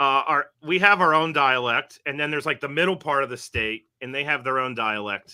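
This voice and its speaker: A man with an American accent talks fairly quickly with hardly any pauses in an ordinary speaking voice, fairly high in pitch with ordinary pitch variation. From West Virginia northern panhandle. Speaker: university professor. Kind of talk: podcast interview.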